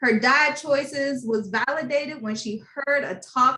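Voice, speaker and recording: Bright and sharp in tone, a woman's raised, projected voice sits at a high pitch with ordinary pitch variation. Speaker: podcast host. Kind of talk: podcast interview questions.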